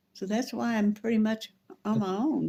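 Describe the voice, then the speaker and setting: A woman speaks at a fairly slow pace with a fairly high pitch. Her tone is dark and mellow, and somewhat breathy. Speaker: family elder recalling the Depression and WW2. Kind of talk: interview answer.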